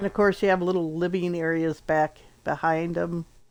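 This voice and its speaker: A woman with a fairly low voice talks with fairly even intonation over noticeable background noise. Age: 60s. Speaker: gaming streamer. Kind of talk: gameplay walkthrough. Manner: casual, hesitant with fillers.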